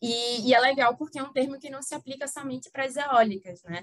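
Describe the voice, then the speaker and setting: With ordinary pitch variation, a woman talks at a moderate speed. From Brazil, Recife (Pernambuco). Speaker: energy lawyer. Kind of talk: podcast interview.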